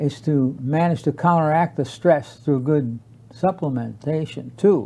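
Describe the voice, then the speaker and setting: A man speaks very slowly in a dark, mellow tone. The background is quiet. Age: 80s+. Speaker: tai chi teacher. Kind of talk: casual chat. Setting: studio.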